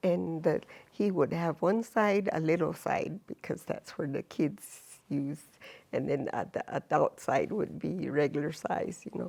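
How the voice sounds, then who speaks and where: A woman's fairly slow, vocal-fried speech with ordinary pitch variation on a very clean recording against a silent background. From Jicarilla Apache reservation, New Mexico. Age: 70s. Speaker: elder and language teacher. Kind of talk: oral history interview. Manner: hesitant, with fillers.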